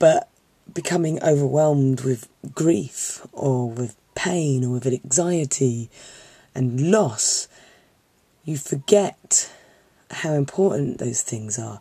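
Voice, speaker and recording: A woman speaks with a very deep, low pitch and a dark, mellow tone that sounds somewhat breathy. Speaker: film student, geek fandom vlogger. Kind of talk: casual talk to camera. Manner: earnest, encouraging.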